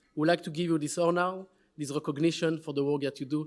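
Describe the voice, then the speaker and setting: With a French accent, a man of fairly high pitch speaks very fast in a monotone, flat intonation. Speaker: award presenter at a summit. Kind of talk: award presentation speech.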